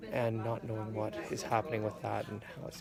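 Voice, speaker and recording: The voice is quiet, with noticeable background noise. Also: man. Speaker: vlogger with chronic illness. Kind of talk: personal video diary. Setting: hospital room. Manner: quiet, subdued.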